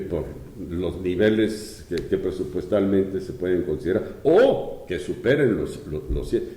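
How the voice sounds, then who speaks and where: A man's voice with audible room echo. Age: 70s. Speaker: economist and former public official. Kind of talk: interview. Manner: halting.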